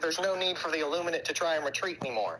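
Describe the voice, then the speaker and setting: Over noticeable background noise, a man with a Southern US accent speaks in a raised, projected voice at a very fast pace, high in pitch with ordinary pitch variation. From US South. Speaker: gaming streamer. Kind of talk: casual chat.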